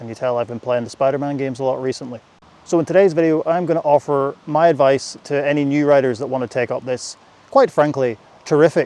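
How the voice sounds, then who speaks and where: A man with a British accent talks at a fairly quick pace and a fairly high pitch. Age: 30s. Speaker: motorcycle vlogger. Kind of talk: casual vlog talk while riding. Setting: riding a motorcycle. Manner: casual, hesitant with fillers.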